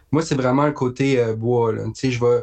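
At a fairly slow pace, a man with a medium pitch talks in a plain, everyday voice with fairly even intonation over a quiet background. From Quebec, Haute-Mauricie (La Tuque). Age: young. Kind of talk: casual interview.

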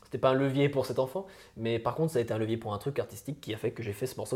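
Fairly even intonation in a man's somewhat breathy voice. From France, Franche-Comté. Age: 20s. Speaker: musician. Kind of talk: interview. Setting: late-night recording.

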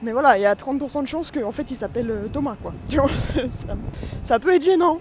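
At a fairly slow pace, a woman speaks in a high pitch with an animated tone. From France. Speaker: vlogger and amateur comedian. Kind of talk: travel vlog monologue.

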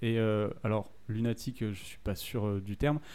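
At a fairly slow pace, a man speaks with a fairly low pitch and a dark, mellow tone. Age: 20s. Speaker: podcast co-host. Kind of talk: casual chat. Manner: halting.

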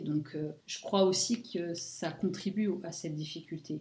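Very slowly and somewhat breathy, a woman speaks with a dark, mellow tone at a fairly low pitch and fairly even intonation. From France. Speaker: podcast co-host, sophrologist. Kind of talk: interview.

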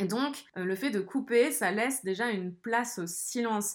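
A woman at a fairly slow pace with ordinary pitch variation, on a very clean recording with a silent background. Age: 20s. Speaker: podcaster. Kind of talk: solo monologue. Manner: casual, with frequent hesitations.

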